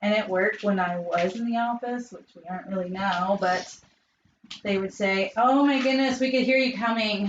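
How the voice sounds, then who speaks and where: Medium pitch and ordinary pitch variation from a woman talking at a moderate pace. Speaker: DIY crafter co-host. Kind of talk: casual live-stream chat. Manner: loud; yelling.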